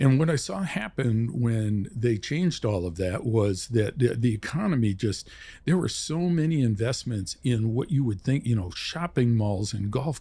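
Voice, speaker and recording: With a dark, mellow tone, a man speaks at a moderate pace in a somewhat breathy voice and lively intonation. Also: very clean recording, silent background. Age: 70s. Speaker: real estate investor. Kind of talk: podcast interview.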